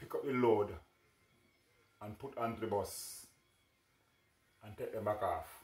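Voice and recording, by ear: A man speaks at a fairly low pitch with a slightly mellow tone.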